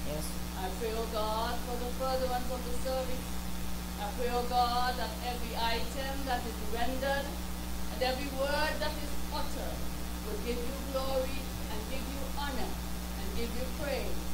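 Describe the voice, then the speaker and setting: Loud background noise sits under a woman talking at a moderate pace. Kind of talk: spoken prayer. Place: church. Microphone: handheld.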